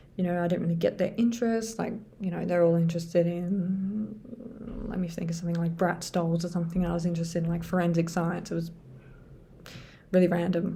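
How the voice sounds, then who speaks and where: Fairly low in pitch and somewhat breathy, a woman speaks fairly quickly in a dark, mellow tone. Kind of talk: casual talk to camera. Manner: hesitant, many filler sounds.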